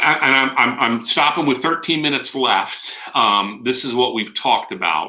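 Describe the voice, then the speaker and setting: Speaking at a fairly quick pace with lively intonation, a man is heard with audible room echo. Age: 60. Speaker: school safety trainer. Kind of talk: lecture. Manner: halting.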